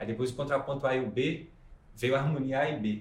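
A man speaks at a fairly quick pace, somewhat breathy. An audible room echo surrounds his voice. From Minas Gerais, Brazil (Ubá, Zona da Mata). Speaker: musician and film composer. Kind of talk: interview, casual chat.

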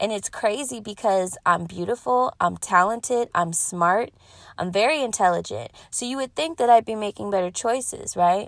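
Recorded very cleanly against a silent background, dry and close with no echo, a woman with an American accent speaks at a medium pitch and a moderate pace in an animated tone with ordinary pitch variation. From US West, Pasadena, California. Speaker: podcast host and singer. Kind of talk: casual monologue.

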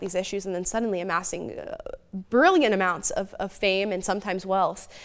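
A woman's ordinary speaking voice at a medium pitch, with an American accent and a fairly quick pace. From United States. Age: 20s. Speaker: political commentator. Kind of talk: interview.

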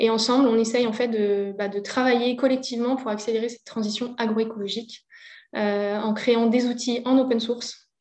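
A woman speaks in a monotone with flat intonation and a fairly high pitch. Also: moderate pace. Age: 30s. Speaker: agroecology association worker. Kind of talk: interview.

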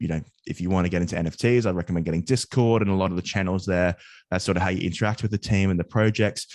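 Talking at a very fast pace, a man with an Australian accent has a very deep, low pitch. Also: quiet background. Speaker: finance podcaster and student. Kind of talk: casual interview.

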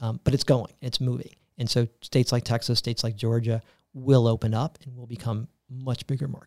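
With an American accent, a man talks at a fairly quick pace in a medium pitch, his tone dark and mellow and his intonation monotone and flat, the sound dry and close with no echo. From US South, Tampa, Florida. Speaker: healthcare company executive. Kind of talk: interview.

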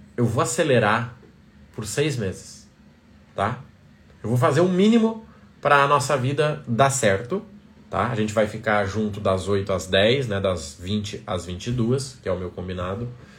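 A man speaks at a fairly slow pace, leaving long, frequent pauses. His voice is somewhat breathy, and audible room echo surrounds it. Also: medium pitch for a man, lively intonation. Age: 30s. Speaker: business coach. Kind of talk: live stream talk. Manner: animated.

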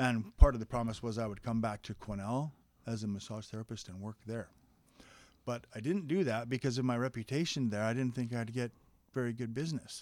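In a very clean recording with a silent background, a man with a Canadian accent speaks at a fairly quick pace. His voice is an unremarkable speaking voice, with medium pitch and ordinary pitch variation. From interior British Columbia, Canada. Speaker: registered massage therapist. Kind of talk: casual interview.

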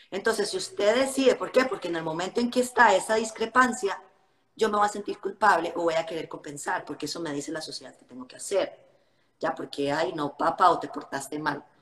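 Lively intonation marks a woman's normal speaking voice, medium in pitch for a woman. She talks at a fairly quick pace with big swings in loudness. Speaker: fitness influencer. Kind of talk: casual chat. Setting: Instagram live video call.

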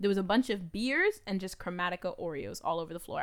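An animated woman's voice at medium pitch, fairly quick in pace, with ordinary pitch variation. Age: 20s. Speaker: podcast co-host. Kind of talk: casual chat.

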